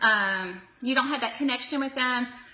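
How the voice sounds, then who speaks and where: A woman talks fairly quickly in a high voice with ordinary pitch variation. There is noticeable background noise. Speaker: direct sales consultant. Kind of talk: live video tutorial. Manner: fast; animated.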